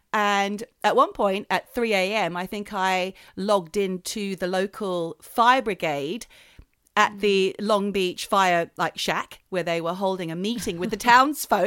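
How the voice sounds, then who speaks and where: Recorded very clean with a silent background, a woman with an Australian accent sounds dry and close with no echo. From Australia, New South Wales south coast. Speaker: podcast co-host. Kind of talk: casual chat.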